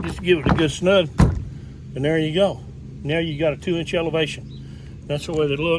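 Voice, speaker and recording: A man at a moderate pace with long, frequent pauses, amid noticeable background noise. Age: 60s. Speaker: kayak angler and DIY product maker. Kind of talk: tutorial. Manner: hesitant, many fillers; casual, folksy.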